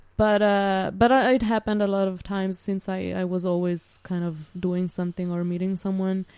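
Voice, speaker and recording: Over a silent background in a very clean recording, a woman with a dark, mellow tone and medium pitch talks at a moderate pace, her intonation fairly even and her speech hardly pausing. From Switzerland (Italian-speaking). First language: Italian. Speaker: student and former au pair. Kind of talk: casual interview.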